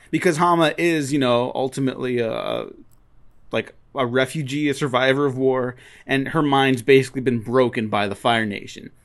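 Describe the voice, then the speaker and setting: A man at a medium pitch with fairly even intonation, talking at a moderate pace against a quiet background. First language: Spanish. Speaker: podcast host. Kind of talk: casual chat.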